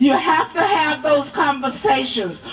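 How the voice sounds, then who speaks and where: A woman's high voice at a fairly slow pace, over noticeable background noise. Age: 70s. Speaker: women's health activist. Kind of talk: rally speech. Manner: emphatic.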